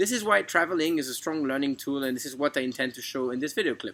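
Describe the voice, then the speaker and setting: A man talks with a French accent. His tone is bright and sharp, and his pitch is fairly high. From France, then international schools in Turkey and Austria. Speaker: university applicant. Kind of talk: scripted narration. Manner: formal.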